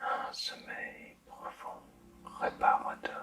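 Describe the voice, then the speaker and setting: Noticeable background noise sits under a soothing tone delivered at a very slow pace. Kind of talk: ASMR sleep-inducing guided relaxation, whispered to the listener. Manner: soft, slow, soothing, whispered.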